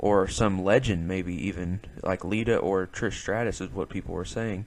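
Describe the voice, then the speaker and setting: Against a quiet background, a man with a Southern US accent speaks at a moderate pace in a fairly low pitch, his intonation fairly even. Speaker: wrestling podcast host. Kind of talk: solo podcast review. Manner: casual, hesitant with fillers.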